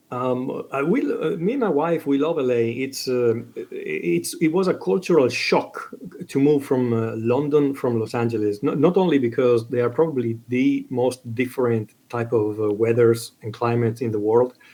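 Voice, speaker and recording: With an Italian accent, a man speaks at a medium pitch and moderate pace, with ordinary pitch variation, hardly any pauses, and noticeable background noise. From Italy. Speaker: book video creator. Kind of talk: casual chat. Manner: halting.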